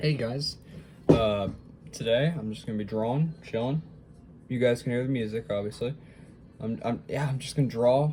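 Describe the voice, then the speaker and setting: A man speaks at a moderate pace in a somewhat breathy, medium-pitched voice with lively intonation. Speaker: hobby artist vlogger. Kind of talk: casual chat while drawing. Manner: hesitant, many fillers.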